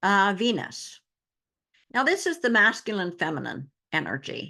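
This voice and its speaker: A woman speaks with a Newfoundland accent in a bright, sharp tone. Her pitch swings very widely against a quiet background. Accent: Newfoundland Canadian English. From Newfoundland, Canada. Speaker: astrologer. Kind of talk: astrology talk to camera. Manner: casual, conversational.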